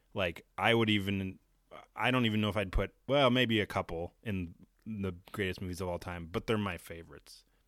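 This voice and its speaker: Speaking at a fairly quick pace, a man with a plain, everyday voice shows ordinary pitch variation. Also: fairly low pitch for a man. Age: 30s. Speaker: podcast co-host. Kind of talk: casual chat.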